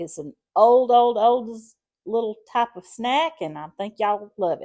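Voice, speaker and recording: A woman with a Southern US accent speaks at a moderate pace in a fairly high pitch, her tone dark and mellow. The recording is very clean with a silent background. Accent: Southern American. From Southern US, Alabama. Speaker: home cook. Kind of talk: casual cooking demonstration to camera.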